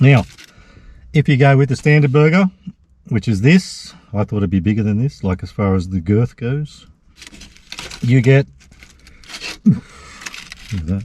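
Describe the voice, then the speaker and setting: A man with an Australian accent at a moderate pace, his pitch swinging very widely, with long, frequent pauses. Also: medium pitch for a man. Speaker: food vlogger. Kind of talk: casual food review vlog.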